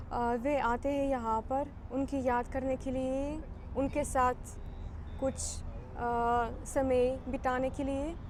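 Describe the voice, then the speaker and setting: In a Ukrainian accent, a woman speaks at a high pitch with monotone, flat intonation. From Ukraine. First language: Ukrainian (speaking Hindi). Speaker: diplomat. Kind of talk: interview. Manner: halting, many hesitations.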